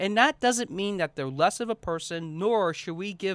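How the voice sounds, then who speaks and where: A man with an American accent, a high pitch and lively intonation, on a very clean recording with a silent background and a dry, close sound with no echo. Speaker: podcast host and speaking coach. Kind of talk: solo podcast monologue.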